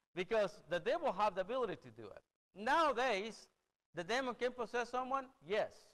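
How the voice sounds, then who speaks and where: A man speaks at a fairly quick pace with a Spanish accent, his pitch extremely high for a man. His loudness swings widely while his pitch varies in an ordinary way. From El Salvador. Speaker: preacher. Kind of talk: sermon. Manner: halting.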